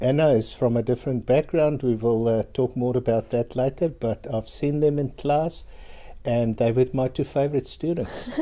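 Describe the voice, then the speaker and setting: Talking at a fairly slow pace, a man uses a fairly high pitch. His tone is dark and mellow, in a South African accent. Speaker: university lecturer. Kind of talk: live webinar presentation. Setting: online webinar.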